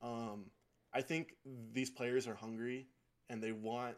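With a Utah accent, a man of medium pitch speaks at a moderate pace in a monotone, flat intonation. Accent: American, Utah. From Utah, South Jordan. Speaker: podcast co-host, basketball analyst. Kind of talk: casual sports chat.

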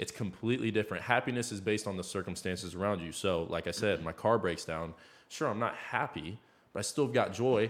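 On a very clean recording with a silent background, a man with an American accent speaks in an unremarkable speaking voice, fairly low in pitch with ordinary pitch variation, at a fairly quick pace. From Iowa, US Midwest. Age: 20s. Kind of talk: casual faith discussion.

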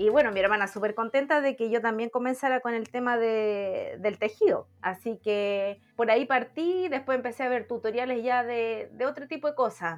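At a moderate pace with hardly any pauses, a woman with a Chilean accent speaks at a fairly high pitch with ordinary pitch variation. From Chile, Villa Alemana. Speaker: crafter. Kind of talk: casual chat.

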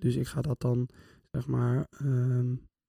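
A man's somewhat breathy voice at medium pitch, dark and mellow in tone, with a dry, close sound and no echo. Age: 20s. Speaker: psychology student. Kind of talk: casual chat.

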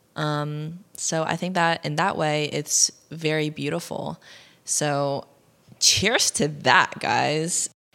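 Bright and sharp in tone, the voice moves at a very slow pace with a Midwestern US accent and fairly even intonation. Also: woman, very deep, low pitch for a woman, very clean recording, silent background. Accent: General American, Midwest. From US Midwest, Ohio. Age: 20s. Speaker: podcast host. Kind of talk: casual solo monologue.

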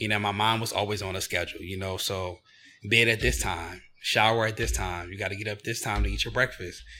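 Fairly low-pitched with vocal fry, a man with an American accent speaks at a fairly quick pace in a bright, sharp tone, his pitch varying in an ordinary way. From Chester, Pennsylvania (near Philadelphia). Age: 30s. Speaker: travel company founder. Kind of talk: casual interview.

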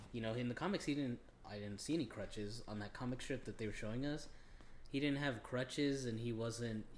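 Speaking at a fairly quick pace, a man has an ordinary speaking voice of medium pitch with ordinary pitch variation. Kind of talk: casual podcast chat.

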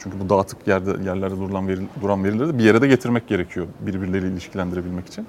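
A man talks at a very fast pace with hardly any pauses. His voice is very deep and low, with fairly even intonation. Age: 40s. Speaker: entrepreneur. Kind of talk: panel discussion.

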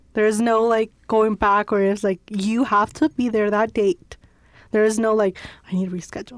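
In a normal speaking voice, a woman with an American accent talks at a fairly quick pace and fairly high pitch, the sound dry and close with no echo. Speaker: university student. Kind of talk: casual chat.

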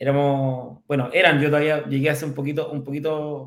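At a moderate pace, a man with a Chilean accent speaks in a fairly high pitch. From Chile, Curicó. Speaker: fintech company executive. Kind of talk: interview. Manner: halting, many repetitions.

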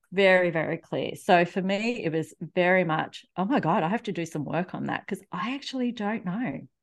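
A woman with an Australian accent talks at a moderate pace with lively intonation. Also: hardly any pauses. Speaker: relationship coach. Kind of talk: casual interview.

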